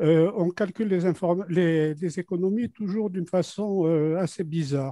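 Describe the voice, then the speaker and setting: A dark, mellow tone comes through with ordinary pitch variation at a fairly slow pace. The sound is dry and close with no echo, over a quiet background. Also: man. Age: 80s+. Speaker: co-owner, webinar participant. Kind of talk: audience question.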